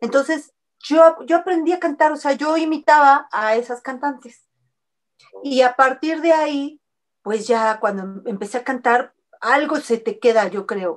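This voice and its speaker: A woman with a high pitch speaks at a fairly slow pace, her intonation lively. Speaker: singer. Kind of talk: interview.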